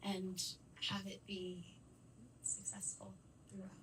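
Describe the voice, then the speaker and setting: A woman talks over noticeable background noise. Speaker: student asking a question. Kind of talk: audience question.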